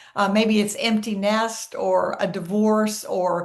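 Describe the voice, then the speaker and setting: Against noticeable background noise, a woman talks in a flat, monotone intonation. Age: 70s. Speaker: productivity expert. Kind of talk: interview.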